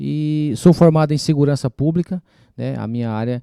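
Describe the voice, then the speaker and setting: A man's voice, dark and mellow in tone, with a dry, close sound and no echo. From Brasília, moved to São Paulo state at about 15. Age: 40s. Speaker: city councillor. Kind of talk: casual interview podcast. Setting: recorded in a bakery.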